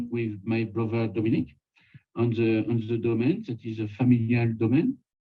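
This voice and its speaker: A man speaks with a French accent. His intonation is flat and monotone. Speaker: winemaker. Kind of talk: interview. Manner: halting.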